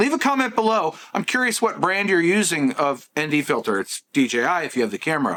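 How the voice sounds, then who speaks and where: Fairly quick and with hardly any pauses, a man's high-pitched voice has a bright, sharp tone and very wide pitch swings. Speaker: tech youtuber. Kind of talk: product review vlog. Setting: outdoors and in a store. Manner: casual, chatty.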